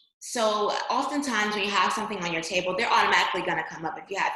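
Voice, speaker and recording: A woman speaks at a medium pitch with ordinary pitch variation and an energetic tone. Audible room echo surrounds her voice. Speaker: voter registration trainer. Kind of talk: training presentation. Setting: online screen-share presentation.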